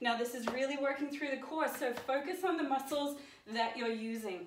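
Audible room echo and light background noise surround a woman speaking with ordinary pitch variation. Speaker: fitness instructor. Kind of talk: workout instruction. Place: home room. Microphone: camera far.

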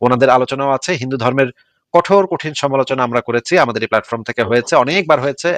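Dry and close with no echo, this man's unremarkable speaking voice sits at medium pitch with ordinary pitch variation. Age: 40s. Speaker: live show host taking callers. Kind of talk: live call-in discussion.

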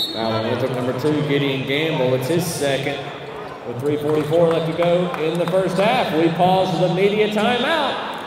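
Lively intonation from a man with a fairly high pitch at a moderate pace, amid audible room echo and noticeable background noise. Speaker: public address announcer. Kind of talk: arena public address game announcement. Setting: PA system in arena. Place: stadium.

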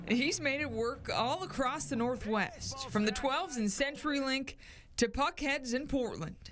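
A woman talks at a fairly slow pace with a high pitch, lively intonation and very even loudness. Background noise is noticeable. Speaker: sports reporter. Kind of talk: TV news feature report.

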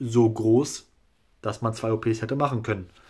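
Over a quiet background, a man talks at a fairly slow pace in a somewhat breathy voice. His intonation is monotone and flat. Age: 20s. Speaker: YouTuber documenting his hair transplant; vlogger sharing a hair transplant result. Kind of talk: casual video blog; casual vlog chat. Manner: hesitant, filler-heavy. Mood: calm, satisfied. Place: home room. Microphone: phone near.

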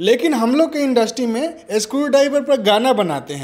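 A man's lively intonation at a fairly slow pace, over light background noise. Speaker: interviewee. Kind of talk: satirical interview answer. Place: studio. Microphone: handheld.

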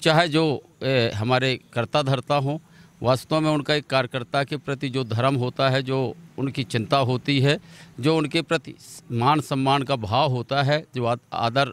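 A man at a fairly slow pace, fairly even in intonation, in a dry recording with no echo. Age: 50s. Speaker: politician, former state legislator; politician. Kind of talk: interview. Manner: halting. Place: open country. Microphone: handheld.

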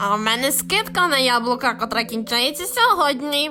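A put-on character voice, female-sounding and high-pitched, at a moderate pace amid clear background noise. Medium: fan dub.

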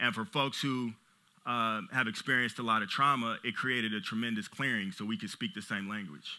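Over a quiet background, a man with an American accent talks at a very fast pace with ordinary pitch variation. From Los Angeles, US. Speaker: business owner and CEO; conference speaker. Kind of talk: motivational talk. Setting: stage with audience. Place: stage. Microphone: headset.

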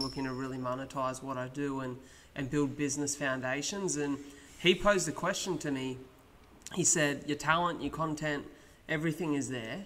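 A man with an Australian accent talks at a fairly quick pace in a fairly high pitch, his intonation fairly even. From Australia (Wollongong, NSW). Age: 20s. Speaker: podcast host. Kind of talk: casual chat. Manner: fluent. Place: studio. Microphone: studio mic.

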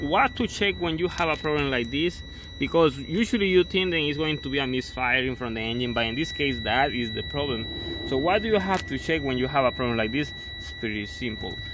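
Loud background noise sits behind the speaker. The man's sound is dry with no echo. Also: fairly quick pace. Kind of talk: tutorial. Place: car. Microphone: phone near.

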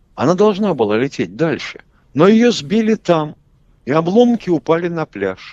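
A man talks with big pitch swings and a slightly mellow tone. The sound is dry and close, with no echo. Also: fairly high pitch for a man, moderate pace.

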